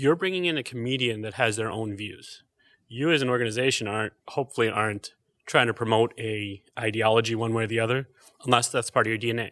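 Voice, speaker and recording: A man talks at a very fast pace in a medium pitch with ordinary pitch variation. His tone is bright and sharp. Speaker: guest, finance manager and former arts board treasurer. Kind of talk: casual conversational discussion. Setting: on stage in a theater.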